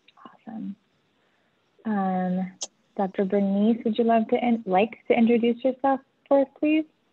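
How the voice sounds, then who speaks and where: Her fairly high voice carries ordinary pitch variation, broken by long, frequent pauses. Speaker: facilitator of virtual learning session. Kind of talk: webinar presentation. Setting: video call. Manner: fast.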